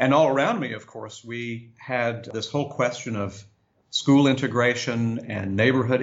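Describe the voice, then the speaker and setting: At a moderate pace, a man with an American accent talks in a medium pitch and a normal speaking voice. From US South, Augusta, Georgia. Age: 50s. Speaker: religious organization leader. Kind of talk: interview.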